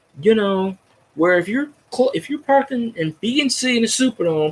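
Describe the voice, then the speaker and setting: A man is speaking. His pitch swings very widely. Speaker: sports fan vlogger. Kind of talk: casual monologue. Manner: loud; rambling, halting with false starts.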